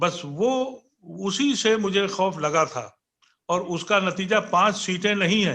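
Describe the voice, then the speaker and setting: A man's high, raised and projected voice with ordinary pitch variation. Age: 70s. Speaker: political commentator. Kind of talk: panel debate.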